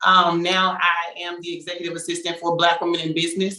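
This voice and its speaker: With an American accent, a woman speaks very fast in a fairly low, bright and sharp voice with a monotone, flat intonation. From Texarkana, Texas. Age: 20s. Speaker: panelist. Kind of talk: panel discussion.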